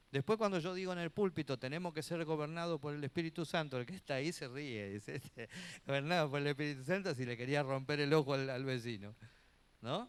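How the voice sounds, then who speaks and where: A man with a fairly high voice talks at a very fast pace, using ordinary pitch variation. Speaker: pastor and Bible teacher, preacher. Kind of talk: church teaching class, sermon-like lecture. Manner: conversational, earnest, preachy.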